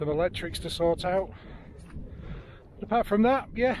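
Over light background noise, a man speaks at a moderate pace in a dry recording with no echo. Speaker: dog owner vlogger. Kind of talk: casual vlog chat. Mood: content, relaxed. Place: open country. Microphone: phone near.

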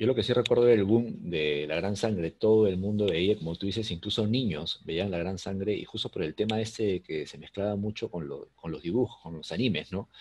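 A plain, everyday voice moves at a fairly quick pace with ordinary pitch variation over light background noise. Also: man, fairly low pitch for a man. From Peru. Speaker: podcast host; interview host. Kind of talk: interview. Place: home room. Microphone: video call.

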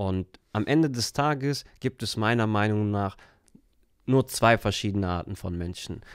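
Moderate pace and ordinary pitch variation, in a dry sound with no echo and a quiet background. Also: man. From Germany. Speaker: entrepreneur and coach; podcast guest. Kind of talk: casual interview. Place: studio. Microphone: studio mic.

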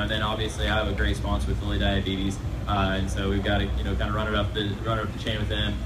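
A man rattles through his words at a very fast pace amid noticeable background noise. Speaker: racing driver. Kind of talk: fan Q&A. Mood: relaxed, friendly. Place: stage.

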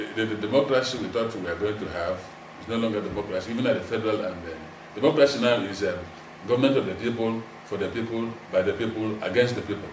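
Against noticeable background noise, a man at medium pitch talks at a very fast pace. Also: ordinary pitch variation. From Nigeria. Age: 70s. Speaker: retired broadcaster and lawyer; lawyer. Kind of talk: interview. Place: home room.

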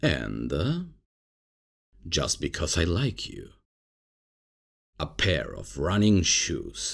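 Here a man puts on a character voice at an extremely low pitch, full of vocal fry. He swings his pitch very widely and speaks at a very slow pace.

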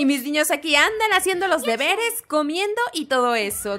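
A woman uses a raised, projected voice with an animated tone and very wide pitch swings, keeping a moderate pace against noticeable background noise. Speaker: gaming YouTuber. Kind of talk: gameplay commentary. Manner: loud.

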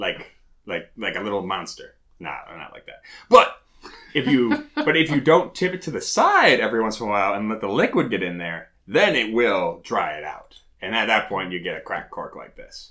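Big swings in loudness mark speech at a moderate pace against a quiet background. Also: man. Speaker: whisky reviewer. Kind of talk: casual review chat. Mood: joking, relaxed. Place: home room.

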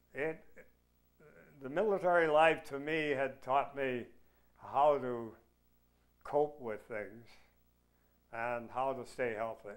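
A man at a very slow pace, with long, frequent pauses, big swings in loudness and ordinary pitch variation, over a quiet background. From Canadian Prairies. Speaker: war veteran. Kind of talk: oral history interview. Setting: at home. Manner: halting. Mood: reflective, calm reminiscing. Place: home room.

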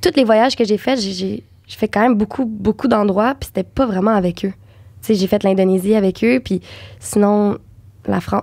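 A woman speaks in a Quebec accent. The background is quiet. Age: young. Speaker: actress and dubbing voice actor. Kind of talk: podcast interview answer. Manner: casual, chatty. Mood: relaxed, warm storytelling. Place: studio. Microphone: studio mic.

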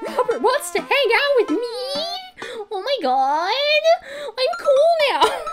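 A woman's put-on character voice at an extremely high pitch, with very wide pitch swings, a very slow pace and clear background noise. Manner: silly, exaggerated.

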